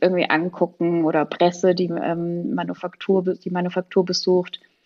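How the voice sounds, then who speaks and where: Her pitch fairly low, a woman speaks very slowly in a monotone, flat way. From Pirmasens, Palatinate, Germany. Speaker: shoe manufacturer managing director. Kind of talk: podcast interview.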